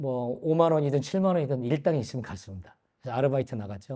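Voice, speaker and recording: Very fast and lively in intonation, a man speaks at a medium pitch. His tone is dark and mellow. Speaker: businessman giving church testimony. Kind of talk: testimony. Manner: hesitant with fillers.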